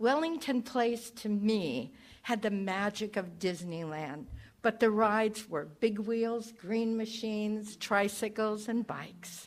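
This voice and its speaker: Speaking very slowly, a woman uses a fairly high pitch. Her pitch varies in an ordinary way. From Texas, then California Bay Area from age 9. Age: 70s. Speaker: spiritual practitioner giving a talk. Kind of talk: church talk to congregation.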